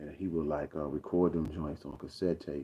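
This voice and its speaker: A man speaks with an American accent. His very deep, low voice has monotone, flat intonation. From Arkansas, US South. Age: 50s. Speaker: rapper. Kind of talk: casual livestream monologue. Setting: livestream. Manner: halting, many fillers.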